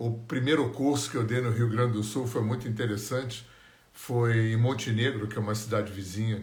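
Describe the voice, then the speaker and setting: A man at a medium pitch with fairly even intonation and audible room echo. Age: 60s. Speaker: energy healing teacher. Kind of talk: live stream talk. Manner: conversational.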